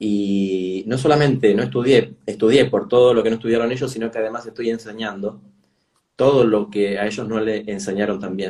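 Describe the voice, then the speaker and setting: Speaking at a moderate pace with a Rioplatense accent, a man has a dark, mellow tone and a fairly low pitch. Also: ordinary pitch variation. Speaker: travel journalist and educator. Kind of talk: interview.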